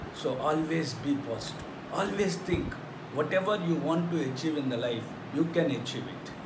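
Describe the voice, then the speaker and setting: A moderate pace with noticeable background noise. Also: man, ordinary pitch variation. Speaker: teacher. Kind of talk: lecture. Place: classroom. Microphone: phone near.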